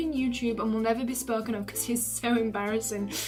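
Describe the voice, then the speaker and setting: A woman's fairly high voice in a northern English accent, fairly even in intonation, with music in the background and audible room echo. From northern England. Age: 20s. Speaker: YouTuber. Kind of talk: casual chat. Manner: halting, many ums.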